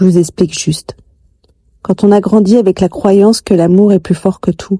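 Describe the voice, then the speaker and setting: A woman with a medium pitch speaks at a fairly slow pace, somewhat breathy, with a dark, mellow tone. The sound is dry and close, with no echo. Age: 40s. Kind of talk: confessional personal life story narration.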